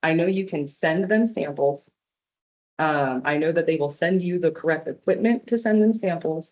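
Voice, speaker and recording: This woman has a plain, everyday voice. Her pitch is fairly low. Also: ordinary pitch variation, moderate pace. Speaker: arborist giving a public talk. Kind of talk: presentation with audience Q&A. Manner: casual, many fillers.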